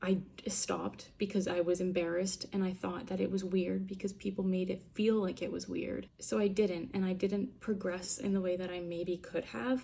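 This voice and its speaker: With an ordinary speaking voice, a woman of medium pitch talks at a moderate pace, hardly pausing, in fairly even intonation. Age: 20s. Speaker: vlogger. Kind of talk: casual monologue vlog. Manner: casual, filler-heavy.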